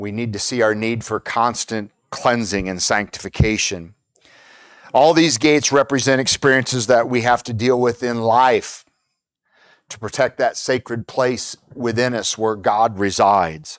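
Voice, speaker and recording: A man's voice at medium pitch with ordinary pitch variation, in a very clean recording with a silent background and a dry, close sound with no echo. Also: fairly slow pace. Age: 60s. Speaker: pastor. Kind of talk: sermon. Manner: halting.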